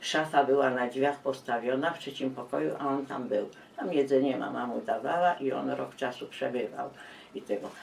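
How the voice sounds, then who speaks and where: Noticeable background noise behind a woman with a very deep, low pitch. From Poland, Kielce. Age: 80s+. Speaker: war survivor. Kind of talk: testimony. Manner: halting.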